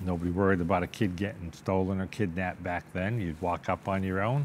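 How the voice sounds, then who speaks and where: Speaking with a Boston accent, a man uses a very deep, low pitch and fairly even intonation. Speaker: businessman and car collector. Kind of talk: interview.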